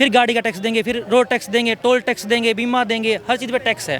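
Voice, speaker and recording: A man speaks at a moderate pace with an extremely high pitch. Noticeable background noise runs behind him. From Haryana. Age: young. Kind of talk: street debate answer.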